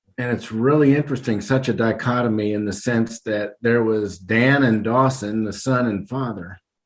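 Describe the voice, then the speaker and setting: Moderate pace, fairly even intonation, hardly any pauses. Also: man, medium pitch for a man. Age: 60s. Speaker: retired school administrator. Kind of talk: podcast interview. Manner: reflective, with filler hesitations.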